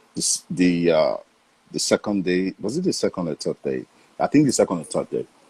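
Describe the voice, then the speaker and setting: Heard with a dry, close sound and no echo, a man with a Nigerian accent talks at a moderate pace. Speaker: voice actor. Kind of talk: interview answer.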